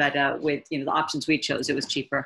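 A woman in an American accent with a very deep, low pitch against a quiet background. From United States. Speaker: missionary and mother; interview guest. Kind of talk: casual interview. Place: home room. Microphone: webcam.

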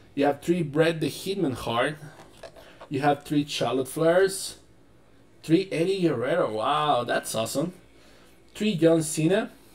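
A man with a non-native accent and a fairly high pitch, ordinary pitch variation, a fairly slow pace and long, frequent pauses. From Chile. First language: Spanish. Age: 20s. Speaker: board game store owner. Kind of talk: casual unboxing talk to camera. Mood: enthusiastic, casual. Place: home room.

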